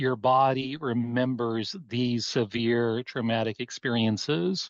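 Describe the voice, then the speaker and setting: With a dry, close sound and no echo, a man speaks in a plain, everyday voice at a medium pitch. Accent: American. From US West (Oregon). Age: 60s. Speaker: abuse survivor and life coach. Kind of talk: testimony.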